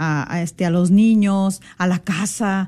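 A woman speaks at a very slow pace in a dark, mellow tone, her pitch medium with ordinary variation. The background is quiet. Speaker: radio co-host. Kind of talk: religious radio talk.

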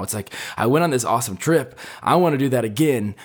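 A man with a plain, everyday voice talks at a fairly quick pace with lively intonation. The recording is very clean with a silent background. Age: 20s. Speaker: podcast host and college student. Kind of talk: solo casual podcast monologue. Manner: casual with many filler words.

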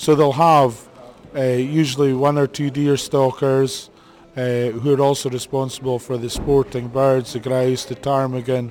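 Over noticeable background noise, a man speaks fairly slowly in a monotone, flat intonation. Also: medium pitch for a man. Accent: Highland Scottish. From Scottish Highlands, Badenoch. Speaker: pony breeder. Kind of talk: interview.

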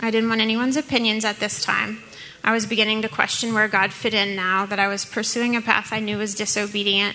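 In an American accent, a woman speaks at a fairly quick pace with a fairly high pitch and flat, monotone intonation. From US South, New Orleans. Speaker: church member sharing testimony. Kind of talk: testimony.

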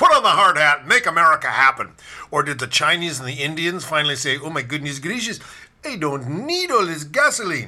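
A man talks at a fairly quick pace with a bright, sharp tone. His fairly high pitch moves in lively intonation. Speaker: political podcast host. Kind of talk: political commentary monologue. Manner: animated, sarcastic.

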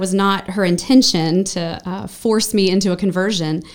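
Recorded very cleanly against a silent background, a woman with an American accent uses an unremarkable speaking voice at a medium pitch, a moderate pace and ordinary pitch variation. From western North Carolina (Brevard, Asheville). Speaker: church member sharing her life story. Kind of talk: personal testimony in a podcast interview.

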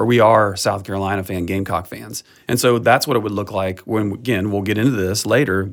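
In an ordinary speaking voice, a man talks at a fairly quick pace with fairly low pitch, fairly even intonation, and hardly any pauses. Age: 50s. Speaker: pastor. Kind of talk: casual chat. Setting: studio.

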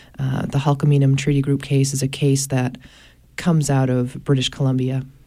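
A woman with an American accent speaks in a dark, mellow tone with monotone, flat intonation. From Maine, US. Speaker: attorney and environmental advocate. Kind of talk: radio interview discussion. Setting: radio studio.

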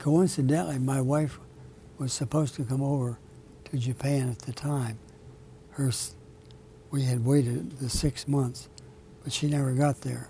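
Pausing long and often, a man speaks at a moderate pace in a medium-pitched, dark, mellow and somewhat breathy voice with fairly even intonation. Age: 80s+. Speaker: author and retired military officer. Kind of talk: interview. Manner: halting.

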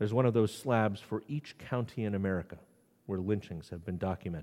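With a dark, mellow tone and fairly low pitch, a man talks at a fairly quick pace using ordinary pitch variation. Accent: New England. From New England. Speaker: priest. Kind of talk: sermon. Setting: church.

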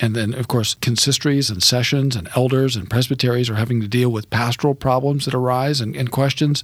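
An unremarkable speaking voice from a man at medium pitch. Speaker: radio host and seminary professor. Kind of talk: interview. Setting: studio.

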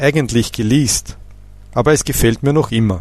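A man at medium pitch speaks at a moderate pace with vocal fry and ordinary pitch variation. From Austria. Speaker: language teacher. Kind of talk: scripted narration. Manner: formal.

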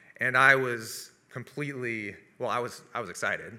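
In a West Coast accent, a man talks at a medium pitch with a bright, sharp tone. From US Pacific Northwest (Seattle area). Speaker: video producer and business owner. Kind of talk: testimony.

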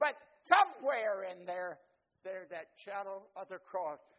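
At a moderate pace, a man talks in a high pitch. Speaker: preacher. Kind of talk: sermon to a church congregation, call-and-response, with storytelling. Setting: church. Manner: animated, warm and rousing, with dramatic pauses and vivid imagery; interactive, inviting the congregation to answer back.

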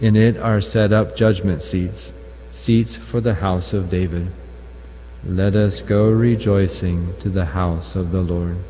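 Music plays behind a man whose very deep, low voice moves with lively intonation at a fairly slow pace. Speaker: lector at Mass. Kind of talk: scripture reading aloud. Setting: chapel.

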